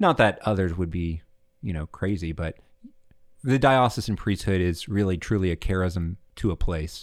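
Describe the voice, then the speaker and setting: A man with a Southern US accent and a very deep, low pitch speaks at a moderate pace with ordinary pitch variation, in a very clean recording with a silent background. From Alabama, Montgomery. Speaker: seminarian. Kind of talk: casual interview.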